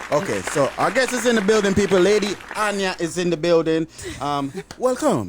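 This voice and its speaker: There is noticeable background noise behind this man's high-pitched voice. He speaks at a moderate pace with lively intonation. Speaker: podcast host. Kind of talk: casual chat. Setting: studio.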